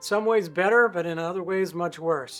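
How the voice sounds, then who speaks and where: A man's high-pitched, fairly quick speech in a very clean recording with a silent background. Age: 60s. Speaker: musician and YouTuber. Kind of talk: casual video monologue.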